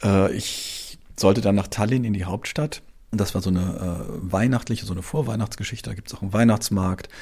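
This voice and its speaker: A man with a dark, mellow, somewhat breathy tone speaks at a fairly quick pace and fairly low pitch, his pitch varying in an ordinary way. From Hamburg, northern Germany. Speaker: travel journalist. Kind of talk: interview. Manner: halting, many fillers.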